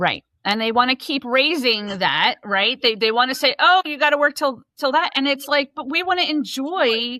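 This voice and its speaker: The voice is raised and projected, with lively intonation and hardly any pauses. The sound is dry and close, with no echo. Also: woman, high pitch for a woman, moderate pace. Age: 50s. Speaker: podcast host and accountant. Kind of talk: casual interview chat.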